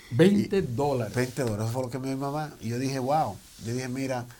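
Dark and mellow in tone, a man's voice moves at a fairly quick pace. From Dominican Republic, Santo Domingo; came young to New York. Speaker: business owner, tax franchise founder. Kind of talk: interview, personal story.

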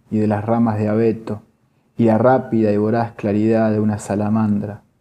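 Solemn in tone, a man speaks at medium pitch with a dark, mellow quality. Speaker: poetry reader, workshop participant. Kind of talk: poetry reading aloud, measured literary delivery. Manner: slow, deliberate, solemn, pausing between poems.

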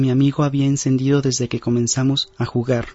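Somewhat breathy and fairly high in pitch, a man talks at a very fast pace. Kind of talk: ghost story telling, first-person creepypasta narration. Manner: earnest, direct address to listener.

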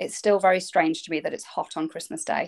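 A woman speaks with an English Midlands accent. The recording is very clean, with a silent background. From England, Derbyshire. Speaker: children's fantasy author. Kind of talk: casual interview.

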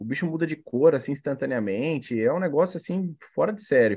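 Speaking at a fairly quick pace, a man with a Brazilian accent uses lively intonation. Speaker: aquarium hobbyist, co-host. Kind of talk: casual chat, live stream.

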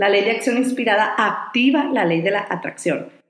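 A woman talks at a moderate pace with lively intonation, and audible room echo surrounds her voice. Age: 30s. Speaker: life coach and podcast host. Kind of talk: motivational monologue.

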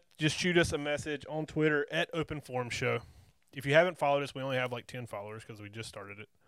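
In a very clean recording with a silent background, a man with a Southern US accent talks at a very fast pace in a fairly high pitch. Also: ordinary pitch variation. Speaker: wrestling podcast host. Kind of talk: casual chat.

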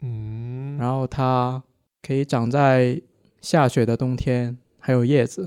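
A man's medium-pitched voice with a dark, mellow tone at a very slow pace, very clean and silent behind, dry and close with no echo. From Guangdong, southern China. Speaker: geology PhD student, listener. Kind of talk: casual chat.

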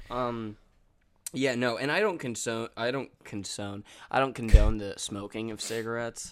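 A man with a plain, everyday voice at a medium pitch speaks at a moderate pace with fairly even intonation and big swings in loudness. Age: 20s. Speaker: podcast co-host. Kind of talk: casual chat.

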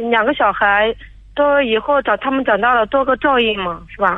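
A woman speaks at a moderate pace in a fairly high pitch with ordinary pitch variation. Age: 30s. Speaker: caller seeking advice. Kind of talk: radio call-in. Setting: phone call. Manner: halting, repeats words.

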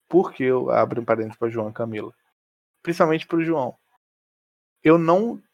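A man speaks at a fairly quick pace with a Rio de Janeiro accent. The sound is dry and close, with no echo. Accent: Carioca Brazilian Portuguese. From Rio de Janeiro, Brazil. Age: 20s. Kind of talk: casual chat.

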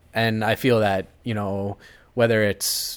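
A man with a plain, everyday voice and an American accent talks at a fairly low pitch. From US Midwest, Cleveland. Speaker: chef. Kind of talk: interview.

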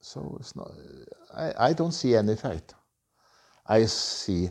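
A man with a Norwegian accent, a dark, mellow tone, fairly low pitch and very wide pitch swings. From Norway. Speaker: motorcycle tour operator. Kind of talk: interview. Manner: halting.

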